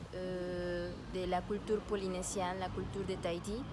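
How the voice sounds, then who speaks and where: A woman amid noticeable background noise. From Mexico. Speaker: dancer. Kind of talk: testimony.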